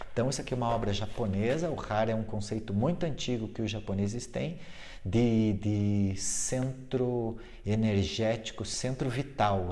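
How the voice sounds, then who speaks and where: A man speaks in a dark, mellow tone with audible room echo around him. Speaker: fitness and yoga teacher. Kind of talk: informal video talk. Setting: sitting on a fitness ball at home. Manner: fast.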